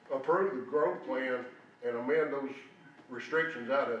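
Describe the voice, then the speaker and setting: With a Tennessee accent and a fairly high pitch, a man talks at a moderate pace amid noticeable background noise and audible room echo. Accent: US Southern (Tennessee). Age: 70s. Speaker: former county official, public commenter. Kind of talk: public comment at meeting. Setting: county meeting room.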